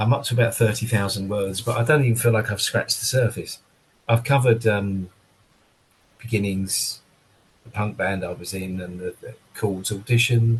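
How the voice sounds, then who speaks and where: Somewhat breathy and medium in pitch, a man talks at a moderate pace with fairly even intonation, big swings in loudness, and long, frequent pauses. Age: 60s. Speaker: drummer. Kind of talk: casual chat.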